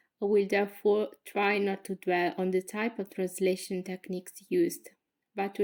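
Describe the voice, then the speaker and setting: In an Italian accent, a woman speaks at a moderate pace. Her pitch is medium and her intonation fairly even. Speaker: graduate student. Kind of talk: thesis presentation. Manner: formal.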